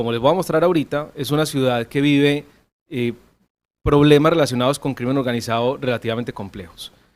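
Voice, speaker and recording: In a very clean recording with a silent background, a man talks at a fairly quick pace with a fairly high pitch and ordinary pitch variation. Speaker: economics professor. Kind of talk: conference talk. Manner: fast; many filler hesitations.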